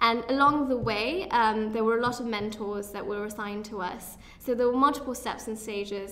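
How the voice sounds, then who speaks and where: Faint music plays in the background as a woman speaks at a fairly high pitch with fairly even intonation. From UK until age 11, then India (Chandigarh); UK. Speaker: student entrepreneur and inventor; interview guest. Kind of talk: interview. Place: meeting room. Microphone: studio mic.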